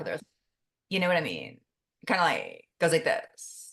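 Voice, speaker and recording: A croaky, put-on character voice that sounds female moves along at a moderate pace. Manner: demonstrating a speech habit.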